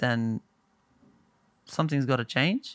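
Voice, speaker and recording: Someone with an Australian accent speaks at a moderate pace in a very clean recording with a silent background. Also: man. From small town in Australia. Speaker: singer-songwriter. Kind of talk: casual chat.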